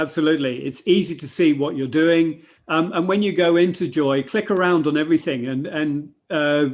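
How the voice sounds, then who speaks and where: This man has a plain, everyday voice. His pitch sits fairly high and varies in an ordinary way. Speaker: software demonstrator. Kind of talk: webinar software demo.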